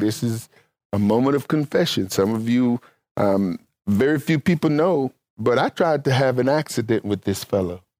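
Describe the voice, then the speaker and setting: On a very clean recording with a silent background and a dry, close sound with no echo, a man with a Mississippi accent speaks at a fairly slow pace. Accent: Southern US (Mississippi). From US South, Mississippi. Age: 60s. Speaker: pastor and Bible teacher. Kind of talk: sermon.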